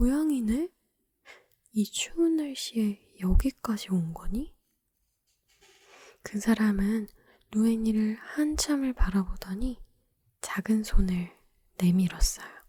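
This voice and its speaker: A calm tone at a very slow pace, broken by long, frequent pauses. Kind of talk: ASMR bedtime story reading, talking ASMR. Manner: soft, calm, slow.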